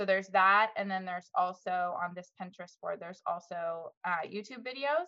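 A woman with an ordinary speaking voice and medium pitch talks at a moderate pace with hardly any pauses and big swings in loudness. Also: ordinary pitch variation. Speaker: SLP and business owner. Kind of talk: panel discussion.

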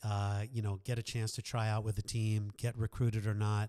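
A man with an American accent talks at a moderate pace in a fairly low pitch, with a dark, mellow tone and flat, monotone intonation. The recording is very clean, with a silent background. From New York. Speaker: sports psychologist. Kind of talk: interview. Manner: hesitant, many fillers.

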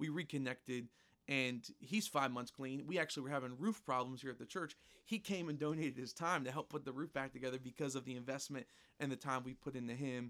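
A man speaks at a very fast pace in a medium pitch. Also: ordinary pitch variation. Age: 20s. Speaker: pastor. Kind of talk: interview. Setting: church.

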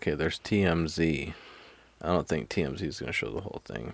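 A man's very deep, low voice with vocal fry, an American accent, ordinary pitch variation, and a moderate pace. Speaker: podcast host. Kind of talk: casual chat. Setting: studio. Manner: animated.

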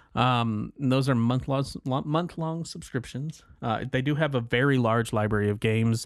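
An unremarkable speaking voice moves at a moderate pace with very even loudness, ordinary pitch variation and hardly any pauses. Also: man, medium pitch for a man. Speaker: podcast host. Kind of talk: casual chat.

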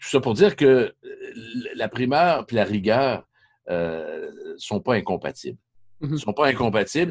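Using vocal fry and a medium pitch with very wide pitch swings, a man speaks at a fairly slow pace with long, frequent pauses, in a dry, close sound with no echo. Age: 50s. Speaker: sports journalist. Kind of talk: podcast interview.

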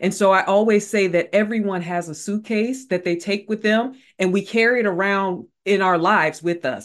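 A woman's ordinary speaking voice at medium pitch and a moderate pace, with ordinary pitch variation and hardly any pauses, on a very clean recording with a silent background. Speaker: leadership and mental wellness expert and author. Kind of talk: interview conversation.

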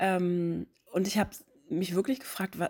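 A woman in a plain, everyday voice, medium pitch and ordinary pitch variation, on a very clean recording with a silent background. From northern Germany, near Hamburg. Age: 30s. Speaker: podcast host. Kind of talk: personal storytelling monologue. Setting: home living room.

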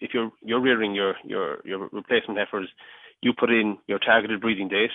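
This man has a fairly low voice and a Cork accent. He speaks at a moderate pace in a flat, monotone way. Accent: Cork Irish. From mid Cork, Ireland. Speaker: agritech company worker. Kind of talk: radio interview.

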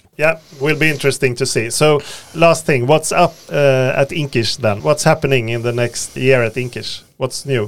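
Speaking at medium pitch, a man has a Swedish accent. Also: ordinary pitch variation, moderate pace. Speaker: podcast host. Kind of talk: interview. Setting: studio.

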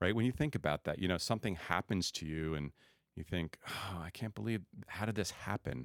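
Very deep and low with vocal fry, a man's voice with an American accent moves at a fairly quick pace with lively intonation, in a dry, close sound with no echo on a very clean recording with a silent background. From New Jersey. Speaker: former missionary, father. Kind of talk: testimony.

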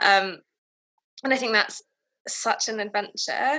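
A woman speaks with a southern English accent at a moderate pace. Her pitch is fairly high. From England, town north of London. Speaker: civil servant. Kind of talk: casual chat. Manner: halting.

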